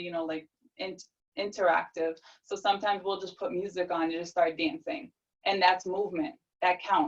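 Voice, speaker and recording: A woman speaks at a medium pitch. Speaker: nurse and life coach presenter. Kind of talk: webinar Q&A answer. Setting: video call webinar. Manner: animated.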